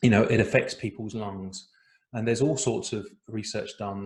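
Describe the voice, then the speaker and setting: A somewhat breathy man with an English accent speaks at a medium pitch. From England. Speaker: breathwork teacher. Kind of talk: online workshop.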